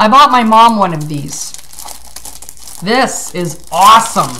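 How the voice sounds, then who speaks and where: Her intonation is lively as the woman speaks. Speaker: vlogger. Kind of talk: casual vlog chat. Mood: excited, grateful. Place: home room. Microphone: webcam.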